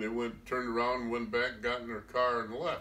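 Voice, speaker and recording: This man has a Midwestern US accent and a bright, sharp tone. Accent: rural Midwestern American. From US Midwest, Iowa. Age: 80s+. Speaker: storyteller recounting his youth. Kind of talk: oral history storytelling. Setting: informal recorded interview.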